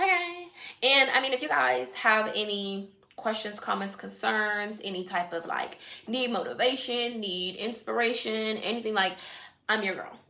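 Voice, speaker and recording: An American woman speaks in an animated tone at a moderate pace, her fairly high voice swinging very widely in pitch. Noticeable background noise and audible room echo are present. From Washington DC area, Jamaican family. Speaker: vlogger, nail technician. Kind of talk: casual vlog chat.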